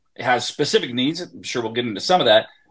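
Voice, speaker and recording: A man with an American accent speaks in an ordinary speaking voice, at a medium pitch with ordinary pitch variation, against a quiet background. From Wisconsin. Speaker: sports radio host. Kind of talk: casual chat. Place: home room. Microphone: earbuds.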